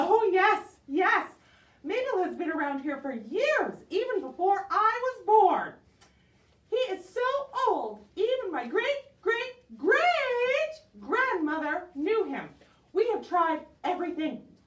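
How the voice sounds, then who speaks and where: In a cartoonish character voice pitched extremely high, someone talks at a fairly slow pace. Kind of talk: puppet show performance. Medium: puppet.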